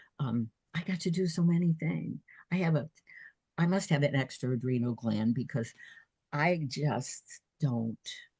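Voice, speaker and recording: Somewhat breathy and dark, mellow in tone, a woman with an American accent speaks at a very deep, low pitch and fairly slow pace, with long, frequent pauses. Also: lively intonation, dry, close sound with no echo. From New Jersey. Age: 80s+. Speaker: author and retired nurse. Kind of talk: casual interview.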